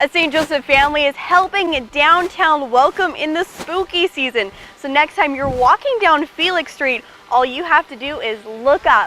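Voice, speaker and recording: A woman's high, raised, projected voice with lively intonation at a moderate pace, over noticeable background noise. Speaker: TV news reporter and anchor. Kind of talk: TV news report.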